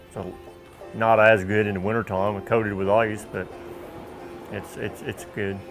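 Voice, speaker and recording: A moderate pace with long, frequent pauses, monotone, flat intonation and an American accent, with music in the background. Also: man, fairly low pitch for a man. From Tangier Island, Virginia. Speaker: waterman and island mayor. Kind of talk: interview answer.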